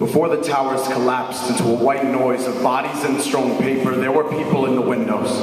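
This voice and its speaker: Someone with an American accent talks at a fairly quick pace with hardly any pauses, in a monotone, flat intonation and at very even loudness, over noticeable background noise. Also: man, medium pitch for a man. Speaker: slam poet. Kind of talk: slam poetry performance. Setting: live stage with audience.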